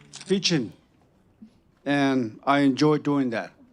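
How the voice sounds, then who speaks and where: A man speaks at a fairly high pitch with a Southwestern US accent. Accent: Navajo-accented English. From Navajo Nation, US Southwest. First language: Navajo. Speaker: retired judge and peacemaker. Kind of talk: panel introduction. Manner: halting.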